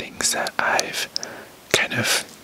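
At a fairly slow pace, a man speaks in a whisper. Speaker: ASMR artist. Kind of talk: ASMR haul, whispered talk to camera. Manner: whispered. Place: home room. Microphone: camera far.

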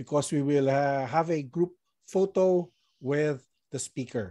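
A man speaks in a dark, mellow tone. The background is quiet. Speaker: meeting host. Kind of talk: meeting announcements. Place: office. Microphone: video call.

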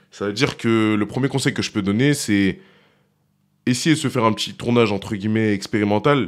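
A man speaks very fast in a fairly low voice. His pitch varies in an ordinary way against a quiet background. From France, Lyon; France. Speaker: rap music video director; guest. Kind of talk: casual chat. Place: studio. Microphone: studio mic.

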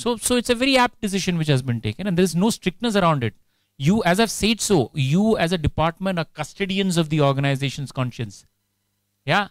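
A man with an Indian accent speaks at a fairly quick pace in a high pitch, his voice making very wide pitch swings, with a dry sound, no echo, and a quiet background. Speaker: HR director; guest. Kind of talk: guest lecture with Q&A. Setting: lecture hall with student audience. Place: hall. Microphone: handheld.

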